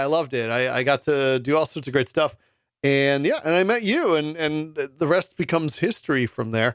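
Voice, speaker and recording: A man with a plain, everyday voice and an American accent speaks at a moderate pace and a fairly high pitch. His intonation is lively, and the recording is very clean with a silent background. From Albany area, upstate New York. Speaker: radio host. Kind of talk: casual chat.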